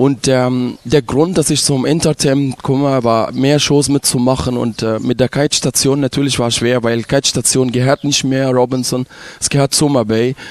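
Speaking with an Arabic accent, a man holds a medium pitch and a moderate pace. His intonation is fairly even, and the sound is dry and close with no echo. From Egypt, Ismailia. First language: Arabic (speaking German). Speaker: resort entertainer. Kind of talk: casual interview.

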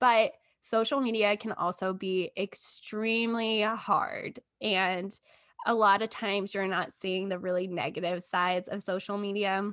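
A woman with an American accent has an unremarkable speaking voice at a medium pitch. She talks fairly slowly with fairly even intonation over a quiet background. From Texas. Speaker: marketing coordinator. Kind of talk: interview.

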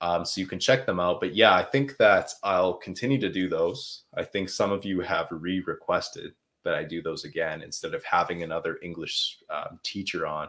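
With a slight Canadian accent, a man speaks at a moderate pace. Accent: slightly Canadian rather than American. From Canada (Quebec). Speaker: English teacher and livestream host. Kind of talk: live Q&A stream, casual. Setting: livestream. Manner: relaxed, conversational with many fillers.

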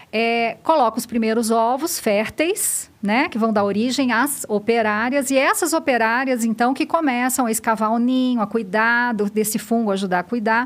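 A woman speaks in a plain, everyday voice, fairly high in pitch with ordinary pitch variation. Her loudness stays very even at a moderate pace with hardly any pauses. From Minas Gerais, Brazil. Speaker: biologist and research institute director. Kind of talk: podcast interview, explaining science.

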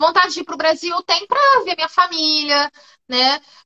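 At a fairly slow pace, a woman with an extremely high pitch uses a raised, projected voice in a bright, sharp tone, recorded dry and close with no echo. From Brazil, Rio de Janeiro. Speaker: public servant at a university, Brazilian expat. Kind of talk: casual interview in a live stream. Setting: live video stream.

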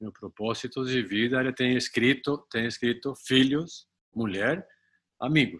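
This man has a Spanish accent, medium pitch, ordinary pitch variation and a fairly slow pace. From Colombia. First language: Spanish (speaking Portuguese). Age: 60s. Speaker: retired executive and amateur triathlete. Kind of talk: interview. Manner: halting, frequent repetitions.

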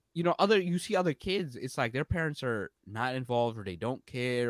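Lively intonation at a fairly quick pace, dry and close with no echo, on a very clean recording with a silent background. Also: man. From New York, US (born in Bangladesh, moved at three). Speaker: entrepreneur and career coach. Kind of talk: casual interview.

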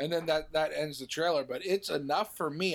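Over a silent background on a very clean recording, a man with an unremarkable speaking voice talks at a moderate pace in a fairly high pitch. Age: 30s. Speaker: podcast co-host. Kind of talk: casual chat.

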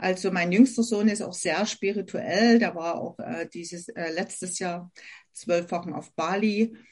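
A woman at a medium pitch speaks at a fairly slow pace, somewhat breathy, her intonation fairly even but her loudness swinging widely. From Germany, Saxony near Dresden. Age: 50s. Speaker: essential oils consultant. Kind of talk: interview.

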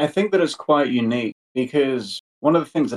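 A man with a normal speaking voice, ordinary pitch variation and a moderate pace, in a dry, close sound with no echo. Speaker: podcast interviewer. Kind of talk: interview.

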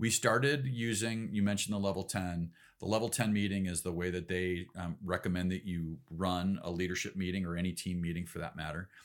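A man with a Midwestern American accent speaks in a very deep, low voice. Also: ordinary pitch variation, fairly quick pace, hardly any pauses. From US Midwest, Chicago suburbs (Elgin, Illinois). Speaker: ecommerce executive. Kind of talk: casual interview.

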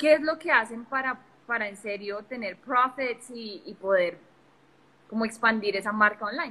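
At a moderate pace with ordinary pitch variation, this is a plain, everyday voice. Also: woman, fairly high pitch for a woman. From Colombia. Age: young. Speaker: digital marketing entrepreneur. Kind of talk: casual interview on a live stream. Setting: live video stream from a phone.

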